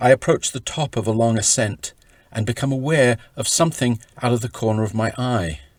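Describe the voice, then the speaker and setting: Heard in a dry, close sound with no echo, a man with a plain, everyday voice speaks at a medium pitch and a fairly quick pace with ordinary pitch variation. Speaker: author reading from his own book. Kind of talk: audiobook-style reading of own travel memoir.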